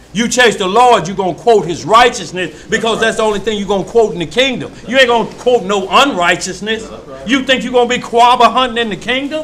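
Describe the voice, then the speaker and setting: A man with a Mississippi accent talks at a fairly quick pace in a high pitch, with ordinary pitch variation. The recording has audible room echo and noticeable background noise. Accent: Starkville, Mississippi. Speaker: preacher. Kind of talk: sermon. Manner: animated.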